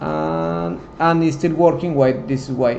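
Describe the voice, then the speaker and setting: A man with a non-native accent and lively intonation at a fairly slow pace, amid audible room echo and noticeable background noise. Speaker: software tutorial instructor. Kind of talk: tutorial. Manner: halting.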